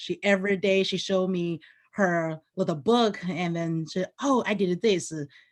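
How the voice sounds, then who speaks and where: Speaking at a fairly slow pace with a Chinese accent, a woman uses a medium pitch and ordinary pitch variation over a quiet background. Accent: Mandarin-accented English. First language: Mandarin. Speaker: teacher. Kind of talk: panel presentation.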